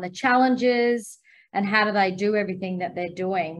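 At a moderate pace and with ordinary pitch variation, a woman talks over a quiet background. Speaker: interviewer. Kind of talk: interview. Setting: video call. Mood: warm, friendly. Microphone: video call.

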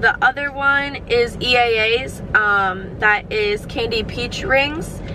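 A woman speaks with ordinary pitch variation while noticeable background noise plays. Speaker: vlogger. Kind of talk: casual vlog chat. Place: car. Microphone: phone near.

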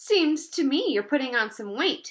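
Doing a put-on character voice, a woman talks fairly slowly at a high pitch with big pitch swings and a fairly bright tone.

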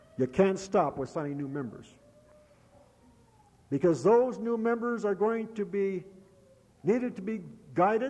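A man's voice with lively intonation at a moderate pace. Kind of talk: convention speech. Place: hall. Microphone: old recording.

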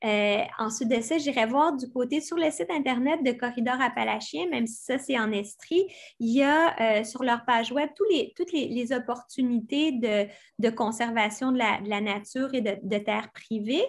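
Moderate pace and ordinary pitch variation against a quiet background. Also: woman, high pitch for a woman. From Quebec, Montérégie; Quebec. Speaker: environmental speaker; speaker. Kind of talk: lecture. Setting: video call. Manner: halting, many repetitions. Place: home room. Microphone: webcam.

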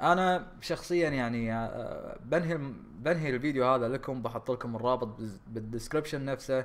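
This man's voice sits at a medium pitch with ordinary pitch variation and moves at a moderate pace. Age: 20s. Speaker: YouTube gaming creator. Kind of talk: casual vlog talk. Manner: halting, many fillers.

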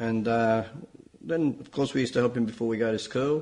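The speaker is a man. His accent is Australian. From Malta, raised in Sydney from age 3. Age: 70s. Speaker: farmer, Maltese migrant. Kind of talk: interview testimony.

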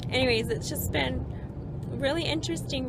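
Against loud background noise, a woman's voice comes through dry, with no echo. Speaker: family travel vlogger. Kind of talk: casual vlog chat. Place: car. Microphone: phone near.

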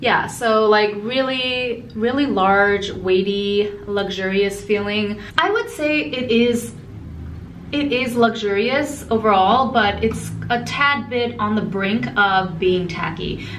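At a very slow pace, a woman speaks with ordinary pitch variation over light background noise. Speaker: beauty vlogger. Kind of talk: casual product review chat. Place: bathroom. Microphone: phone near.

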